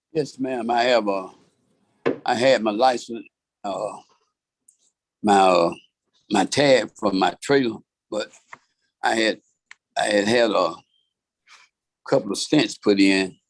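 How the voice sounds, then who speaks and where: A man with a Georgia accent talks at a fairly slow pace, pausing long and often. His pitch sits in the medium range with ordinary variation. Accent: Southern US, Georgia. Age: 60s. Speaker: defendant. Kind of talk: court hearing.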